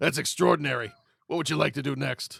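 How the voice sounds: A put-on character voice from a man, raspy and robotic, fairly high in pitch and very fast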